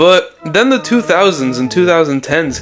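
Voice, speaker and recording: Music plays in the background. A man does the talking. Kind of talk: comic book commentary video. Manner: casual, irreverent.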